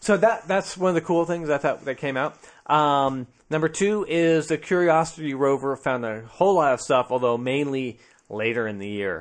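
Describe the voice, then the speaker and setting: Over a quiet background, a man speaks at a moderate pace in an ordinary speaking voice. His pitch is fairly high and his intonation lively. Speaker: podcast co-host. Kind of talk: casual chat, comedic banter.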